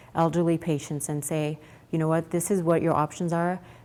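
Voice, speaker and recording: A quiet woman's voice, fairly low in pitch, with monotone, flat intonation. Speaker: pharma executive and physician giving a keynote. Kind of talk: keynote presentation. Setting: stage with audience at event. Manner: fast; too quiet.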